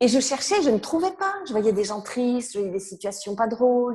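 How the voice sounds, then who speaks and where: At a moderate pace, a woman speaks in a dark, mellow, somewhat breathy tone. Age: 60s. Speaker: author and personal development speaker. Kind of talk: interview.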